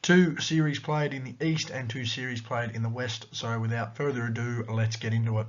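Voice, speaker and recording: A man with an Australian accent sounds somewhat breathy. He speaks with hardly any pauses. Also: medium pitch for a man, ordinary pitch variation, moderate pace. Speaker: sports commentator / YouTuber. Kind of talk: sports analysis vlog.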